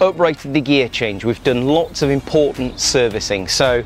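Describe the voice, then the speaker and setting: The sound is dry with no echo, with light background noise. A man talks at a moderate pace, his pitch varying in an ordinary way. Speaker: car channel host. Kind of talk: casual vlog chat. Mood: wry, upbeat despite car troubles. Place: street. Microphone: lapel.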